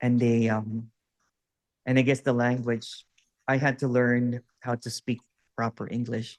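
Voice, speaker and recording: A man with a Filipino accent speaks fairly slowly at a medium pitch, his intonation monotone and flat, with long, frequent pauses and a dry, close sound with no echo. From Philippines. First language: Waray. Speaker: non-duality teacher. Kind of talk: one-on-one spiritual session.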